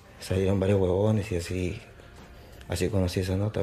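Very fast, monotone male speech with flat intonation and a very deep, low pitch. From Peru, Lima (Surquillo). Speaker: drill rapper. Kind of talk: casual interview.

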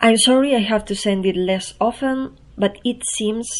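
A woman speaks with a Spanish accent at a fairly slow pace. The background is quiet. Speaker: poet and performance artist. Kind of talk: reading aloud.

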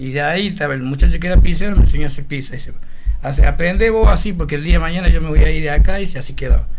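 A man talks at a very fast pace. There is audible room echo and music in the background. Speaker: former newspaper seller. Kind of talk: casual chat.

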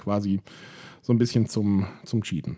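A man's dark, mellow tone. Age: 30s. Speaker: podcaster documenting weight loss. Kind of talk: personal monologue. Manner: hesitant, many filler sounds.

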